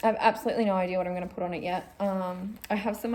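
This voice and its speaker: A woman speaks with an Australian accent at a medium pitch. Her pace is moderate and her intonation fairly even. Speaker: cross-stitch vlogger. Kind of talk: casual vlog chat. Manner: filler-heavy, chatty.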